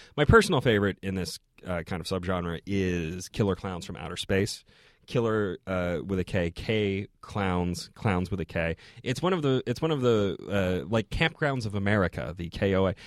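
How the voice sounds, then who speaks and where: A man with a normal speaking voice talks at a moderate pace in a fairly low pitch with lively intonation, recorded very cleanly against a silent background with a dry, close sound and no echo. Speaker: podcast co-host and film commentator. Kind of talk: casual chat.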